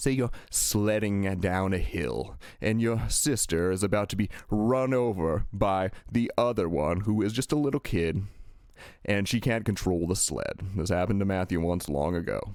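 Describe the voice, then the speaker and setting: A man speaks at a moderate pace and a fairly low pitch, with ordinary pitch variation. He has an unremarkable speaking voice with very even loudness. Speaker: spiritual channeler. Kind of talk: channeled message.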